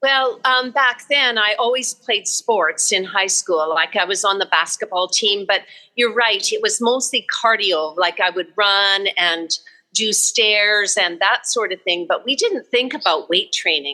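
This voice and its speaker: A woman's fairly high, bright and sharp voice with lively intonation and a western Canadian accent. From Canada, Alberta. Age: 70s. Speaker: barrel racer and rancher. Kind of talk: casual chat.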